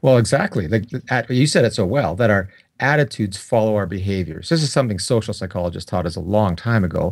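Speaking at a fairly quick pace, a man with a Canadian accent has a fairly low pitch and a normal speaking voice. The recording is very clean, with a silent background. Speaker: psychology professor. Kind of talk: interview.

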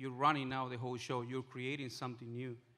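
A man's monotone, flat-intoned delivery. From Bolivia. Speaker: restaurant owner, food truck entrepreneur. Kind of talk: personal story told to a live audience. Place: hall. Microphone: handheld.

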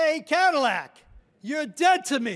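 A put-on character voice at a high pitch. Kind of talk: eulogy speech with humor. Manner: dismissive, condemning.

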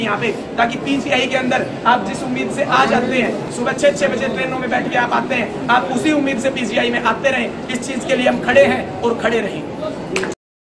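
Against loud background noise, a man speaks at a moderate pace with hardly any pauses. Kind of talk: protest speech. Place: hall. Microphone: camera far.

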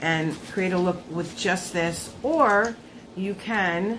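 A woman talks over noticeable background noise. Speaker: beauty vlogger. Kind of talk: product review vlog chat. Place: home room. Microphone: phone near.

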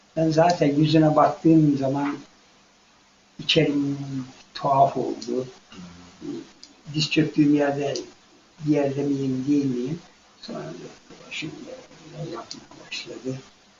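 A man at a fairly high pitch, monotone and flat, very slow with long, frequent pauses and big swings in loudness. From Afyon, western Turkey. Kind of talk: interview answer, personal memoir. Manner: emotional, moving storytelling.

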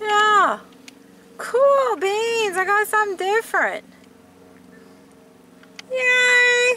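A woman's extremely high, bright and sharp voice, with lively intonation at a very slow pace.

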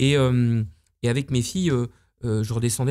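Against a quiet background, a man talks at a moderate pace in a dark, mellow tone. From Normandy, France. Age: 50s. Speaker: entrepreneur, luxury hotel owner; interviewee. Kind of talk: casual interview. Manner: halting, many fillers. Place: home room. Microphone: studio mic.

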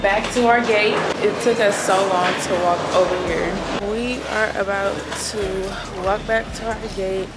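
A woman talks fairly slowly against loud background noise. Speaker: travel vlogger. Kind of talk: casual vlog chat. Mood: mildly annoyed, chatty. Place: hall. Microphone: phone near.

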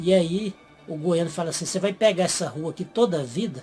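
Over faint background music, a high-pitched man talks at a fairly quick pace with ordinary pitch variation. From Goiás, Brazil. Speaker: youtuber explaining regional slang. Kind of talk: casual talk to camera.

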